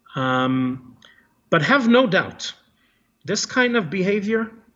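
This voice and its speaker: A man with an Israeli accent speaks with very wide pitch swings. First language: Hebrew. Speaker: former soldier turned activist. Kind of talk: interview.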